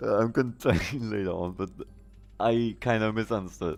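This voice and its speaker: With a non-native accent and music in the background, a man talks at a fairly quick pace and a fairly low pitch. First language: not English. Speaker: live streamer, gamer. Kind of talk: casual live stream chat. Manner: halting.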